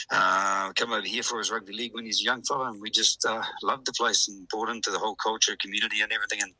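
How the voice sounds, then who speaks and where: Speaking at a very fast pace, a man talks with a New Zealand accent. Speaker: rugby league club president. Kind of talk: radio interview.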